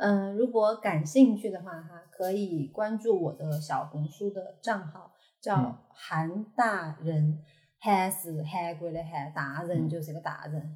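The speaker has a Chengdu accent and a somewhat breathy voice. The pace is very slow, with ordinary pitch variation and big swings in loudness. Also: woman, fairly low pitch for a woman. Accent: Chengdu Sichuanese dialect. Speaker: fitness enthusiast. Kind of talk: casual chat.

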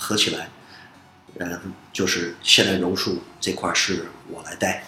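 With long, frequent pauses and big swings in loudness, a man talks at a fairly slow pace amid noticeable background noise and audible room echo. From United States (moved from Beijing as small child). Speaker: Brazilian jiu-jitsu instructor and fight promoter. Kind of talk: casual interview. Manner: many hesitations and fillers.

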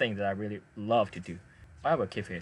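Speaking with a Chinese accent, a man talks at a fairly low pitch. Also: quiet background. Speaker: podcast host. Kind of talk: casual chat. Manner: halting.

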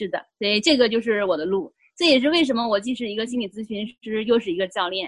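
Talking at a very fast pace with hardly any pauses, a woman uses lively intonation and a fairly high pitch. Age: 40s. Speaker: life coach and psychotherapist. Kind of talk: interview, personal testimony. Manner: hesitant, many fillers.

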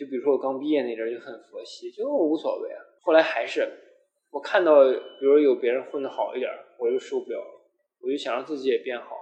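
Loudness rises and falls sharply as a man speaks. He goes at a very fast pace. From Shandong, China. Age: 20s. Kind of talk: casual chat.

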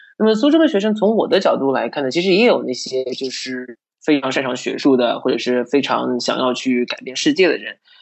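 This man talks at a fairly quick pace with hardly any pauses. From China, Suzhou. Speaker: study-abroad counselor. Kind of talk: casual chat.

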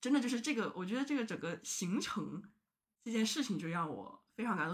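A woman's fairly high-pitched voice at a fairly quick pace, with lively intonation. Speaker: podcast guest. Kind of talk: casual chat.

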